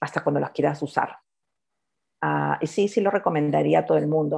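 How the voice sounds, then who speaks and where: The speaker has a Peruvian accent. The background is quiet. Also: woman. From Peru, Lima. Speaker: economist and entrepreneur. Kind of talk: interview.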